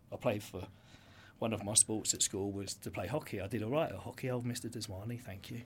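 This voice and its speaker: This man speaks very fast with a southern English accent, a fairly low pitch and somewhat breathy delivery. His intonation stays fairly even, and the recording is very clean with a silent background. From Brighton, England. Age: 40s. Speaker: entrepreneur. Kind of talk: interview.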